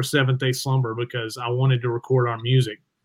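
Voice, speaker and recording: With a Southern US accent, a man talks very fast in a somewhat breathy voice of medium pitch. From US South. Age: 40s. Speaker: rock guitarist and producer. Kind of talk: casual interview.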